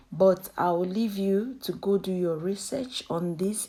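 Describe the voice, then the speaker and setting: At a fairly slow pace, a woman with a medium pitch speaks in a dark, mellow tone with ordinary pitch variation. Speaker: hair care YouTuber. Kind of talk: tutorial.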